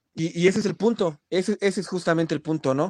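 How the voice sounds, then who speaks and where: Recorded with a dry, close sound and no echo, a man speaks at a moderate pace with ordinary pitch variation. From Mexico, State of Mexico (Ecatepec). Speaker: rock musician. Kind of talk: casual interview. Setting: online live stream. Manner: halting, repeats words.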